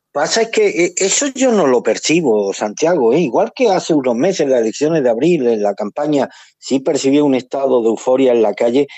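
In a plain, everyday voice, a man talks at a fairly quick pace with a fairly high pitch, lively intonation, very even loudness and hardly any pauses. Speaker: political commentator. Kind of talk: radio panel discussion.

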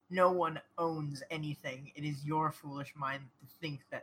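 Using a put-on character voice, the speaker growls at a moderate pace. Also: man, fairly high pitch for a man. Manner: menacing, hostile.

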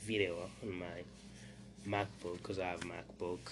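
Moderate speed and fairly even intonation, room echo audible. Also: man. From Burundi. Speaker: podcast host. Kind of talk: solo news commentary. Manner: halting, many fillers.

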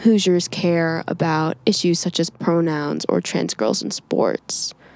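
A woman with an American accent speaks very slowly in a fairly low pitch. The recording is very clean, with a silent background. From Indiana, US Midwest. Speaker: student podcast host. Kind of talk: interview.

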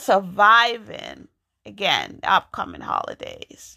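A woman with an American accent speaks at a very slow pace, the sound dry and close with no echo. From New York. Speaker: podcast host and poet. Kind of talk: solo podcast monologue. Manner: casual, halting with fillers.

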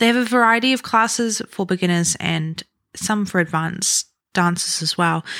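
With a New Zealand accent, the speaker talks at a moderate pace with ordinary pitch variation, in a dry, close sound with no echo and a very clean recording with a silent background. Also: woman. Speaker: podcast host, aspiring musical theatre performer. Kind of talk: solo podcast monologue. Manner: animated.

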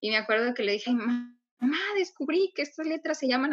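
This woman's voice is high-pitched with a bright, sharp tone. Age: 20s. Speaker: lettering artist and course teacher. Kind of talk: interview.

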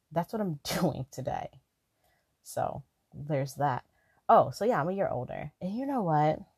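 A somewhat breathy woman's voice, fairly low in pitch with very wide pitch swings, at a moderate pace with long, frequent pauses, in a dry, close sound with no echo. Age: 20s. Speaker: podcast host. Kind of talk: casual solo podcast monologue. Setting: lying down, not in usual studio. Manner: laid-back, quiet like a phone chat.

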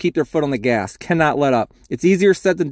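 The recording is very clean, with a silent background and a dry, close sound with no echo, as a man with an unremarkable speaking voice talks at a fairly quick pace and fairly high pitch with ordinary pitch variation. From US Mid-Atlantic, Baltimore. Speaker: fantasy football podcaster. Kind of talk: solo sports preview. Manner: casual, conversational.

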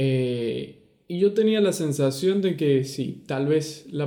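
A very slow man with a fairly high pitch, dark, mellow tone and ordinary pitch variation. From Venezuela. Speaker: podcast co-host. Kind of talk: casual chat.

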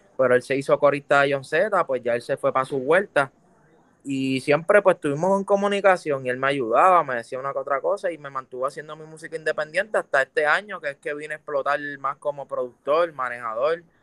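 A man speaks at a very fast pace in a fairly high voice. The sound is dry and close with no echo, over a quiet background. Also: ordinary pitch variation. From Puerto Rico, Juncos. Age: 20s. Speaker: urban music artist. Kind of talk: casual interview chat.

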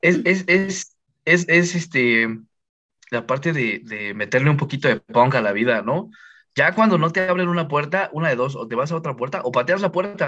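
A man with a Mexican accent speaks in a fairly high voice with lively intonation. His tone is bright and sharp. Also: moderate pace. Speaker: podcast guest. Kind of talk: casual chat.

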